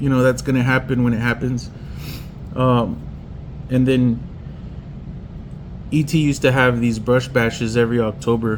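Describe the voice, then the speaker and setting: This man talks at a moderate pace with a medium pitch. Noticeable background noise sits behind him. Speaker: pinstriper and custom painter. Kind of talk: personal tribute monologue. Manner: halting.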